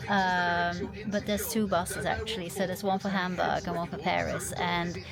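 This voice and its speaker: Over noticeable background noise, a woman at medium pitch speaks with monotone, flat intonation at a moderate pace. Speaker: travel vlogger. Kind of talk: vlog narration. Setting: bus station then on coach. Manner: halting, many fillers.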